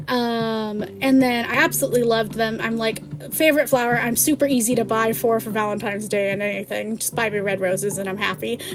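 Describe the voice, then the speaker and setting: Against noticeable background noise, a woman rattles along at a very fast pace with hardly any pauses, her pitch fairly high with ordinary variation. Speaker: vtuber streamer. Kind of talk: casual live stream chat. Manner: animated.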